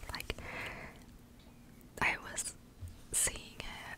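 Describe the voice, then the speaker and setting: The speaker, a woman, talks in a whisper. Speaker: ASMR creator. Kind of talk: ASMR whisper ramble. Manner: whispered. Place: home room. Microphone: studio mic.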